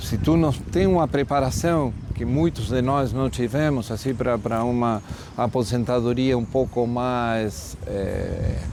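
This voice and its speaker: Very slowly, a man speaks as noticeable background noise continues behind him. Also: medium pitch for a man, ordinary pitch variation. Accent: Spanish. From Argentina, Buenos Aires. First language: Spanish (speaking Portuguese). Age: 60s. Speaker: journalist. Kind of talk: interview.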